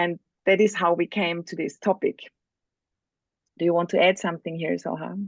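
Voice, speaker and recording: A woman with a non-native accent, fairly low pitch and monotone, flat intonation, at a moderate pace with long, frequent pauses, in a dry, close sound with no echo. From Spain. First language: not English. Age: 40s. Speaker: workshop facilitator. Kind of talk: online workshop presentation.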